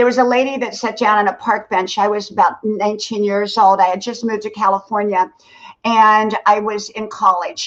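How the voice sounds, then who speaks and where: In an ordinary speaking voice, a woman talks at a moderate pace with a fairly high pitch and fairly even intonation. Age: 60s. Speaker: content creator and former nurse. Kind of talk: livestream interview, casual chat.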